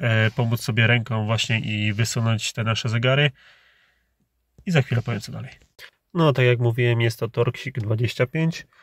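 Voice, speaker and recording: Recorded very cleanly against a silent background, a man speaks at a moderate pace in a somewhat breathy voice with fairly even intonation, the sound dry and close with no echo. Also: medium pitch for a man. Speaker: car DIY youtuber. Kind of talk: tutorial. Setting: home workspace. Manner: casual, with filler sounds.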